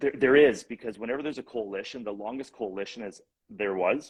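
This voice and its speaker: A man speaks very fast with a Canadian accent. His pitch is fairly low, with ordinary variation. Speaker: real estate investor and coach. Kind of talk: casual interview chat. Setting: live-streamed video chat.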